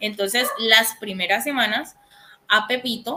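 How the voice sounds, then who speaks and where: A woman with a bright, sharp tone speaks at a fairly slow pace with lively intonation. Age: 20s. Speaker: accountant teaching a course. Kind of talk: online lecture. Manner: hesitant, many fillers.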